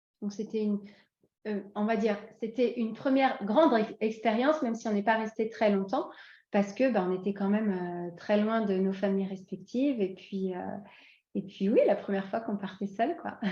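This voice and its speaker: Speaking at a moderate pace, a woman has a fairly high pitch, a dark, mellow tone, ordinary pitch variation and a somewhat breathy sound. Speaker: expatriate interviewee. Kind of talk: podcast interview. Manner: hesitant, many fillers.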